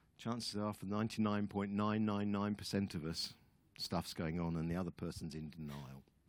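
A man with an English accent, a fairly low pitch and lively intonation. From England. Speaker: guest preacher. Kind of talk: sermon.

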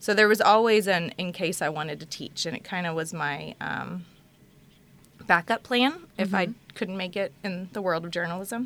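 A woman with an American accent has a normal speaking voice in a medium pitch. She talks at a moderate pace with ordinary pitch variation. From Texas, Houston. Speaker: university instructor. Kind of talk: casual chat.

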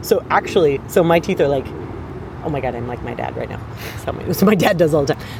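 The speech goes at a very fast pace yet has long, frequent pauses, with noticeable background noise throughout. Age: 40s. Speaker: podcast co-host. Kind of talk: casual chat. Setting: outdoors in a park.

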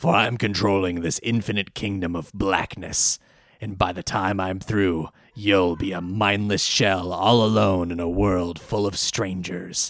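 A man puts on a character voice with very deep, low pitch and a menacing tone. He speaks at a moderate pace. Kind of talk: theatrical. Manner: menacing, grandiose.

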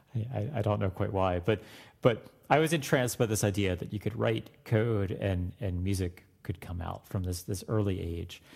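A man's somewhat breathy, fairly low voice with an American accent, moderate pace and ordinary pitch variation, on a very clean recording with a silent background. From Florida. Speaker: music professor. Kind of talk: interview.

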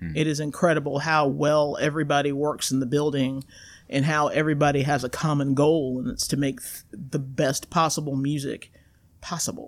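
With fairly even intonation and a moderate pace, a woman speaks in a very deep, low voice. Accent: American. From US South, coastal North Carolina. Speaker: university band director. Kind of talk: casual interview. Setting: in-person studio.

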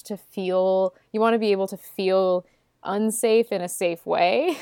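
A woman speaks in a plain, everyday voice at a medium pitch with ordinary pitch variation, the recording very clean with a silent background and a dry, close sound with no echo. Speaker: podcast host. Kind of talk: casual chat.

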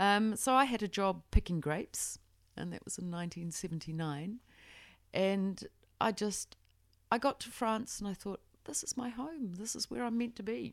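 In a very clean recording with a silent background, a woman with a New Zealand accent speaks at a moderate pace with lively intonation and big swings in loudness. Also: medium pitch for a woman. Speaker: winemaker. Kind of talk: interview.

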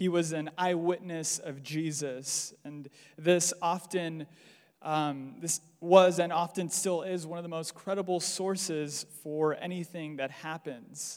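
Very slowly, a man with a General American accent talks in a high pitch, his intonation fairly even but his loudness swinging widely. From US. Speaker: preacher. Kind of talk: sermon. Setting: church.

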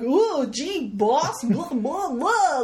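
A cartoonish character voice squeaks out at a high pitch. Loud background noise surrounds it. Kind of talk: cartoonish, exaggerated. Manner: goofy, silly, dopey.

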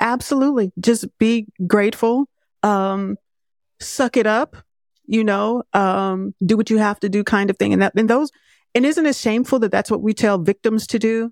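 Recorded very cleanly over a silent background, with a dry, close sound and no echo, a woman with an unremarkable speaking voice talks at a moderate pace and a fairly high pitch, keeping her loudness very even and her pitch variation ordinary. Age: 50s. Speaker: filmmaker. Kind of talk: interview.

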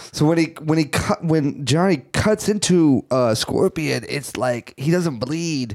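The speech moves at a fairly slow pace with lively intonation and hardly any pauses. The sound is dry and close with no echo, and there is noticeable background noise. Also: man, fairly high pitch for a man. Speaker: podcast host. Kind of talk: casual banter.

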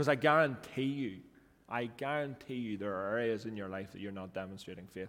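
Talking at a fairly quick pace with ordinary pitch variation, a man in a Northern Irish accent is heard with audible room echo. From Northern Ireland. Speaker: pastor. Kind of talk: sermon. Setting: church.

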